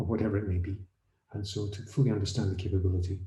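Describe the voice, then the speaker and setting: With audible room echo, a man speaks in a dark, mellow, somewhat breathy tone with an American accent. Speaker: autonomous vehicle safety consultant. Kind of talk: panel discussion. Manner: halting, with restarts.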